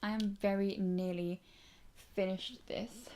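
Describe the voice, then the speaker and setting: A woman with a British accent speaks at a fairly slow pace in a dark, mellow tone. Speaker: beauty youtuber. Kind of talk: casual vlog chat. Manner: soft-spoken.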